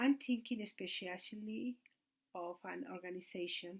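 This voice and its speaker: Very slow-paced woman of medium pitch. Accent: Mexican. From Mexico City. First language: Spanish. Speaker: student. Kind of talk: class presentation. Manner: halting.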